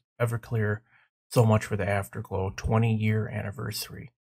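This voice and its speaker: A man talks at a moderate pace in a fairly low, somewhat breathy voice. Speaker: gaming youtuber. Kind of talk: casual vlog. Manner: animated.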